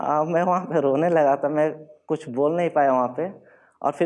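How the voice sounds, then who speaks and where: This man's voice sits fairly high for a man, and his intonation stays fairly even. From Bihar, India. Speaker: civil services exam topper, Bihar police officer. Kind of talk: motivational stage talk.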